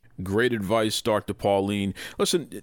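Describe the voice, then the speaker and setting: Fairly low male voice with a Boston accent, on a very clean recording with a silent background. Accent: Boston-tinged American English. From US Northeast, Boston. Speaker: podcast host. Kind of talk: interview conversation.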